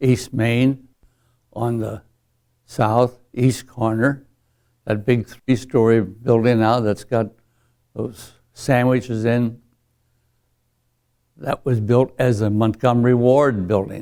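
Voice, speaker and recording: A man's medium-pitched voice with a dark, mellow tone and flat, monotone intonation, at a very slow pace with long, frequent pauses, on a very clean recording with a silent background. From US Midwest, Belleville, Illinois. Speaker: war veteran. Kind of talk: oral history interview. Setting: library interview. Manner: halting.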